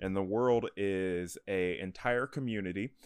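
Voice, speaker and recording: An ordinary speaking voice from a man, fairly low in pitch, on a very clean recording with a silent background. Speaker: delivery driver and comic fan. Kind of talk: casual chat.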